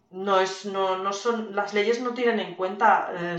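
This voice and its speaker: Speaking at a very slow pace, a woman holds a medium pitch and fairly even intonation. Audible room echo surrounds her. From Spain. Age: 40s. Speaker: video game studio executive and producer. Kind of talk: casual interview.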